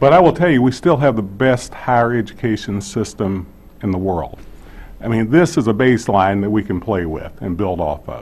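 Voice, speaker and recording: A man with a fairly low pitch speaks at a moderate pace, his pitch swinging very widely. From central Appalachia. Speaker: state higher education official. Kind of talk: hearing testimony.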